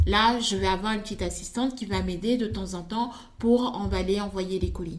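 A woman talks at a moderate pace, her voice ringing with audible room echo over noticeable background noise. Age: 30s. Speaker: fashion designer and content creator. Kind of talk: interview.

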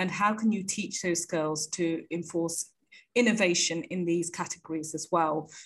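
This woman has a fairly low pitch and a moderate pace. Her intonation stays fairly even. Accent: British. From UK. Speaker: startup founder.

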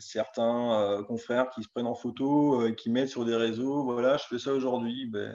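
Monotone, flat intonation from a man with a dark, mellow tone. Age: 30s. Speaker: farmer. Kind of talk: casual chat. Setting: live stream.

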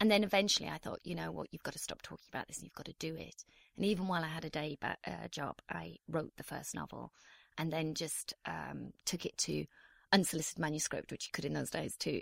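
Dry and close, the sound has no echo at all. A woman rattles along at a very fast pace. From northeast England. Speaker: novelist. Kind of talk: interview.

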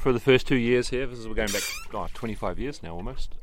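Someone with a New Zealand accent talks at a moderate pace with ordinary pitch variation. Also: man. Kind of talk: casual interview.

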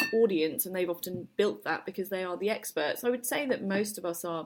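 Speaking with a British accent at a fairly quick pace, a woman of medium pitch shows ordinary pitch variation in a very clean recording with a silent background. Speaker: agency managing director and co-founder. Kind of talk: interview.

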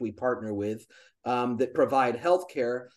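At a moderate pace, an ordinary speaking voice shifts pitch in an ordinary way, with a quiet background behind it. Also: man. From US, military family, moved around. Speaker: charity founder, optical business worker. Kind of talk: casual interview chat.

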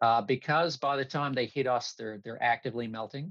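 A man speaks with a Newfoundland accent and ordinary pitch variation. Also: quiet background. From Newfoundland, Canada (North River, near St. John's). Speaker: remote sensing executive. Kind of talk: interview. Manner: halting.

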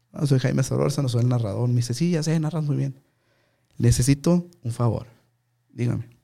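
On a very clean recording with a silent background, a man speaks with a dark, mellow tone and lively intonation. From Mexico, Ciudad Juárez, Chihuahua. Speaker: sports commentator.

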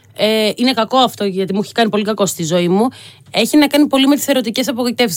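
This woman has an unremarkable speaking voice, fairly high in pitch, with lively intonation. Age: 30s. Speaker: youth astrologer. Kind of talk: casual chat.

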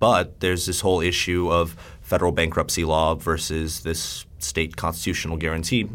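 A man with an American accent speaks at a fairly quick pace and a very deep, low pitch, with monotone, flat intonation. The recording is very clean, with a silent background. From Michigan, US. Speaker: policy research analyst. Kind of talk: interview.

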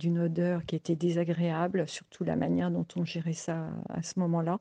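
A woman speaks in a fairly low pitch with a dark, mellow tone and monotone, flat intonation. The sound is dry and close, with no echo. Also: quiet background. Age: 70s. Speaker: interviewee sharing a personal story. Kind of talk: personal testimony. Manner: hesitant, with fillers.

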